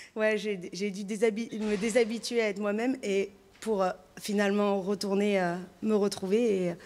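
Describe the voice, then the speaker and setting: A woman speaks in a flat monotone at a fairly slow pace. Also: medium pitch for a woman. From France, Gironde (Entre-deux-Mers). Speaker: actress and theatre creator. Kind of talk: radio interview. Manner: hesitant, many fillers.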